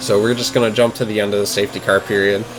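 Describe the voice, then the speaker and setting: A man talks at a very fast pace with fairly even intonation. Background noise is noticeable. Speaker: sim racing gameplay commentator. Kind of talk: gameplay commentary. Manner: slurring words; casual, self-correcting.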